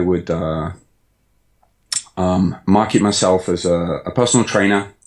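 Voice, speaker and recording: A man with a British accent, very deep and low in pitch, flat monotone delivery at a fairly slow pace, on a very clean recording with a silent background. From English Midlands, Birmingham (Sutton Coldfield). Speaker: online fitness coach. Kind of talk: podcast interview. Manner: hesitant, many fillers.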